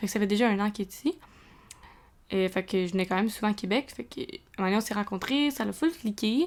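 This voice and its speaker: With a Quebec accent, a woman speaks at a medium pitch. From Quebec, Montreal region. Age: 20s. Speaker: podcast host, student. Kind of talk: casual monologue. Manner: hesitant, filler-heavy.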